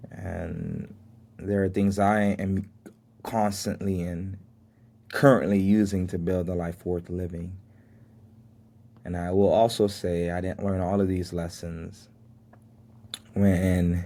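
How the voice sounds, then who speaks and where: A man speaks at a very slow pace, leaving long, frequent pauses. His very deep, low voice has a dark, mellow tone and a monotone, flat intonation. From Miami, Florida, Haitian family. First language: Haitian Creole. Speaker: podcast host. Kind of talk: motivational monologue.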